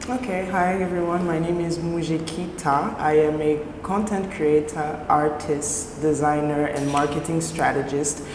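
Noticeable background noise sits under speech with fairly even intonation and hardly any pauses. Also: woman, very deep, low pitch for a woman. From Texas. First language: French. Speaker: content creator. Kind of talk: casual chat. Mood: friendly, smiling. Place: studio. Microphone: lapel.

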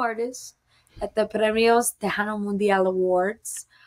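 A woman with an unremarkable speaking voice talks against a quiet background. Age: 20s. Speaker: singer. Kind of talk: casual interview. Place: home room.

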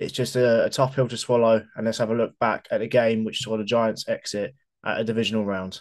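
In a British accent, a man speaks at a moderate pace. His intonation stays monotone and flat against a quiet background. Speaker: football fan vlogger; sports fan channel host. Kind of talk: post-match reaction monologue. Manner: hesitant, with fillers.

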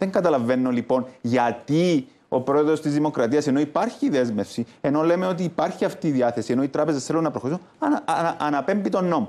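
A man with a fairly high voice and a dark, mellow tone talks at a fairly quick pace. His loudness stays very even and his pitch varies in an ordinary way. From Cyprus. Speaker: economist; guest, politician. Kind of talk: TV panel debate. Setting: TV studio. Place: studio. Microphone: lapel.

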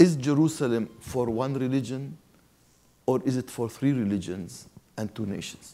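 A man with an Arabic accent speaks at a moderate pace in a dark, mellow tone with lively intonation. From Palestine. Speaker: Lutheran bishop. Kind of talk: panel discussion. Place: hall. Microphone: lapel.

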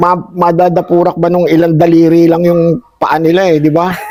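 A man speaks in a high-pitched voice. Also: dry sound with no echo. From Philippines. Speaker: rice farmer; interviewee. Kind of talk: casual interview chat. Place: farm machine. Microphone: camera far.

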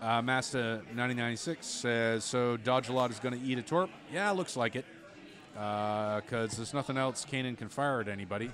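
The tone is relaxed, with ordinary pitch variation. Music plays in the background. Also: man, medium pitch for a man, moderate pace. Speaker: esports commentator. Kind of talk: live sports-style commentary. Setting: in-person at a game store. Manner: relaxed, chatty, conversational play-by-play.

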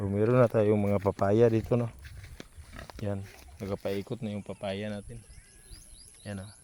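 A man with a dark, mellow tone and fairly low pitch speaks in a monotone, flat intonation at a moderate pace. His loudness swings widely, and long, frequent pauses break up his speech. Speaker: farmer vlogger. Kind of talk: casual vlog narration. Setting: outdoors on farm.

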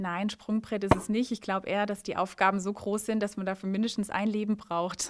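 Over loud background noise, a woman talks at a fairly quick pace with hardly any pauses and monotone, flat intonation. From Baden, Germany. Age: 30s. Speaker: mayoral candidate, lawyer; candidate. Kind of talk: rapid-fire interview. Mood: cheerful, smiling. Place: office. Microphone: handheld.

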